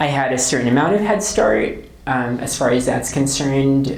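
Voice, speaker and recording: With noticeable background noise and audible room echo, a woman speaks at a moderate pace in a very deep, low voice. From Philippines. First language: Tagalog. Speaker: author. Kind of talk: interview. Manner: hesitant, many fillers.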